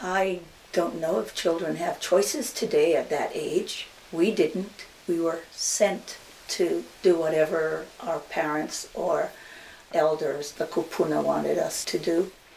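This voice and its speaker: Speech at a very slow pace, with noticeable background noise behind it. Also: woman. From Hawaii, Maui. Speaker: hula teacher. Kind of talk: interview.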